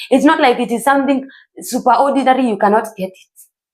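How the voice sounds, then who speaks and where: Talking at a fairly quick pace in an animated tone, a woman with a Kenyan accent uses a high pitch. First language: Kikuyu. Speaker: self-improvement vlogger. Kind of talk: motivational talk.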